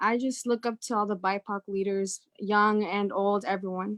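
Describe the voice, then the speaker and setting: Against a quiet background, a woman talks at a fairly slow pace with fairly even intonation and a bright, sharp tone in a dry, close sound with no echo. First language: not English. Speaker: youth advocate. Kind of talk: panel discussion.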